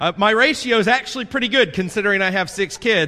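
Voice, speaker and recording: A man speaks loudly in an animated, bright and sharp tone with a Southern US accent, on a very clean recording with a silent background. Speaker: pastor. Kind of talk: sermon. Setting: church.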